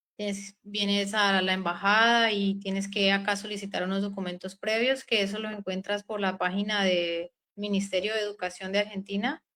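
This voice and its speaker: A woman with a bright, sharp tone speaks at a moderate pace and medium pitch in a monotone, flat intonation, with hardly any pauses. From Colombia, Huila. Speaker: doctor. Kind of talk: interview. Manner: hesitant.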